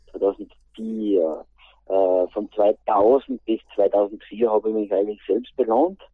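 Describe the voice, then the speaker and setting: The speaker is a man with a fairly low pitch. He talks at a very slow pace. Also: ordinary pitch variation. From Austria, Styria (St. Peter, Schwanberg area). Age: 40s. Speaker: interview guest, project manager and former footballer. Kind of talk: interview. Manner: halting.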